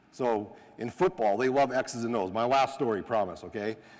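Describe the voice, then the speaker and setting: With a slight North Dakota accent, a man speaks at a moderate pace in an animated tone and a medium pitch. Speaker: sport scientist and coach educator. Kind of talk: coaching clinic talk.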